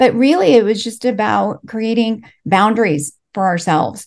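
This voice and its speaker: This woman talks at a fairly slow pace. Her intonation is lively, with vocal fry. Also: quiet background. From Los Angeles, US, Mexican immigrant family. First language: Spanish. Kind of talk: interview. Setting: remote call.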